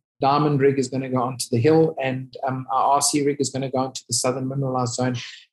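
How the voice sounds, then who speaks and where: Speaking at a very fast pace, a man sounds somewhat breathy, with monotone, flat intonation. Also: quiet background. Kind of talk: interview answer. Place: office. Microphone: video call.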